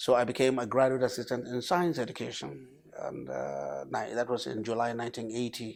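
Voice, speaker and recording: With a northern Nigerian accent, a man speaks at a medium pitch and with ordinary pitch variation. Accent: northern Nigerian (Hausa) English. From northern Nigeria, Kano. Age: 60s. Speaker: professor. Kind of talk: TV interview.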